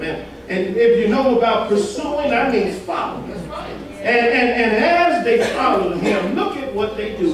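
A man speaks with a high pitch. Audible room echo is present.

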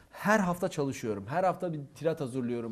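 The speaker is a man. He uses lively intonation. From southeastern Turkey. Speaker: theatre instructor and actor. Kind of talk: casual interview.

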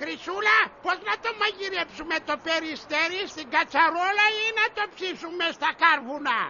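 A shrill, put-on character voice at an extremely high pitch, hardly any pauses, over clear background noise.

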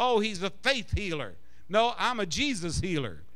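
Against a quiet background, a man speaks at a moderate pace in a high voice with a bright, sharp tone. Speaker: preacher. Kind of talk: sermon. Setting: church congregation. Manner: fervent, insistent, building to a rousing call-and-response. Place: church. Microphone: handheld.

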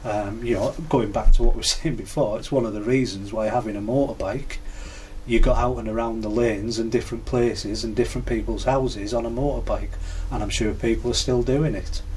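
The speaker has a Cumbrian accent and a fairly quick pace. Light background noise is present. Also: man. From Cumbria, England. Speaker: biker. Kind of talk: interview answer. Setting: garage. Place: garage.

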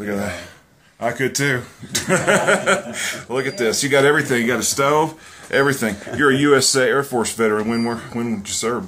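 Fairly quick pace, long and frequent pauses, and light background noise. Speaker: visiting radio host filming. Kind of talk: casual talk to camera, interview questions. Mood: impressed, friendly. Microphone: phone near.

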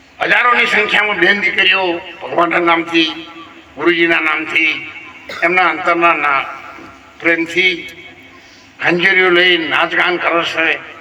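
Over noticeable background noise and audible room echo, a man speaks in a high pitch. His intonation is monotone and flat, and his loudness stays very even. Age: 70s. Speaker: religious speaker, retired government employee. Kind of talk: satsang discourse. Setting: religious gathering with audience.

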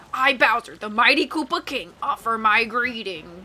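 A female-sounding voice puts on a booming character voice at a fairly high pitch. She keeps a moderate pace. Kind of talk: pompous, theatrical. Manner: booming, grand announcer.

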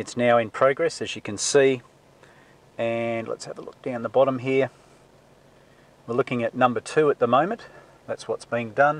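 Long, frequent pauses break up the speech. The pace is moderate and the intonation fairly even. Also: man, dry sound with no echo. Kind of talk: tutorial. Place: car.

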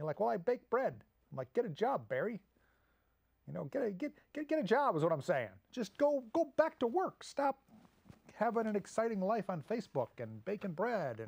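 A man with a high voice speaks at a moderate pace with very wide pitch swings and long, frequent pauses. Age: 50s. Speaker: comedic monologue host. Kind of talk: casual comedic monologue. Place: studio.

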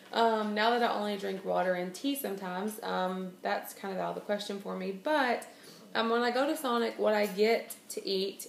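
A woman speaks in a room with audible echo. Light background noise is present. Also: ordinary pitch variation, moderate pace. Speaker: vlogger. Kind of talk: casual vlog chat. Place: home room. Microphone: phone near.

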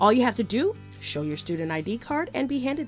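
A woman's medium-pitched voice in an American accent with very wide pitch swings, at a fairly quick pace over music in the background. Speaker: voice actor. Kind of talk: TV commercial read. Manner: jovial, laid back, casual.

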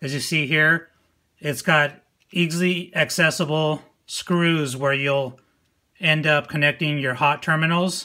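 A man's bright, sharp, monotone voice with flat intonation, fairly slow with long, frequent pauses, over a quiet background. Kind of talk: tutorial. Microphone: phone near.

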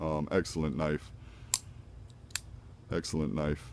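The man's voice has a dark, mellow tone. The sound is dry, with no echo. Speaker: knife collector. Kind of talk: casual talk to camera. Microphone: phone near.

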